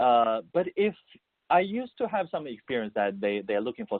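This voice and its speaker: With a Mandarin accent, a man talks at a fairly quick pace, his pitch making very wide swings. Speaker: musician, composer and voice-over artist. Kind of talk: interview. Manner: halting, many repetitions and fillers.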